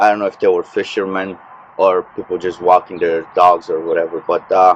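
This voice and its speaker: A man mumbles. His pace is fairly quick. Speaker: fishing vlogger. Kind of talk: casual vlog narration. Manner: hesitant, many fillers; mumbling.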